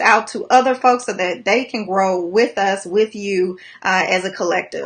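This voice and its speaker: Ordinary pitch variation marks the woman's speech. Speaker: life coach. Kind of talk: motivational livestream talk. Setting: live video stream. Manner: fast.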